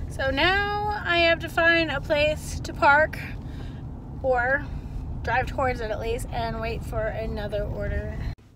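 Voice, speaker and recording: Over noticeable background noise, a woman speaks at a fairly slow pace in a dry sound with no echo. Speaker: delivery driver vlogger. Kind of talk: casual vlog chat. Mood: upbeat, chatty. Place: car. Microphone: phone near.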